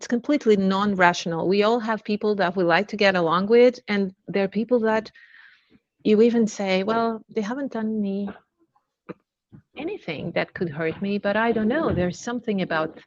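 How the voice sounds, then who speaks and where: A woman with a Portuguese accent speaks at a fairly high pitch and a moderate pace, with ordinary pitch variation and big swings in loudness. She leaves long, frequent pauses, and the sound is dry and close with no echo. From Portugal, Lisbon. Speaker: learning and development director. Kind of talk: webinar interview.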